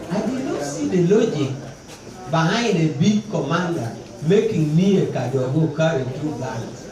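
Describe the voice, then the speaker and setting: In a northern Ugandan accent, the speaker goes at a fairly slow pace with long, frequent pauses, amid audible room echo and noticeable background noise. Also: man. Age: 50s. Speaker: war veteran. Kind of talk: personal testimony talk.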